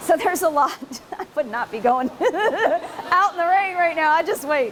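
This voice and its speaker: Over noticeable background noise, a woman speaks loudly at a moderate pace, her extremely high pitch moving with lively intonation. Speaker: researcher and conference presenter. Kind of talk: conference talk. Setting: conference room with audience, recorded on video. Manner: casual, conversational.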